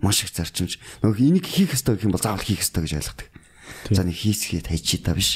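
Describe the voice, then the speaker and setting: Talking at a fairly quick pace, a man has an unremarkable speaking voice. His pitch sits fairly low. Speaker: bodybuilder and fitness coach. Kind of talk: podcast interview.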